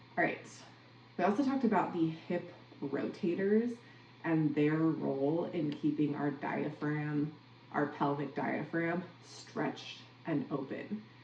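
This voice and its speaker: Amid noticeable background noise and audible room echo, a woman with an American accent and a very deep, low pitch speaks with ordinary pitch variation and long, frequent pauses. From Minnesota, US. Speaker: podcast host, athletic coach. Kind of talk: solo podcast recap. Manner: casual, conversational.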